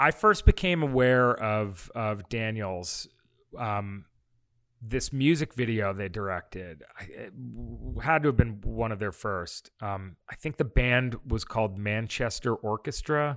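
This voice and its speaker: On a very clean recording with a silent background, a man in a plain, everyday voice speaks at a fairly slow pace, with a medium pitch and ordinary pitch variation. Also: big swings in loudness. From upstate New York. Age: 40s. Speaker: film and TV director. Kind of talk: casual chat.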